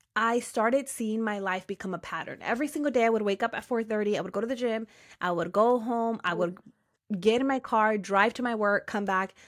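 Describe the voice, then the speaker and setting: With an energetic tone, a woman speaks at a fairly quick pace and a fairly high pitch with ordinary pitch variation, in a very clean recording with a silent background. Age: 30s. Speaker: women's empowerment coach, podcaster. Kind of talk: casual interview chat.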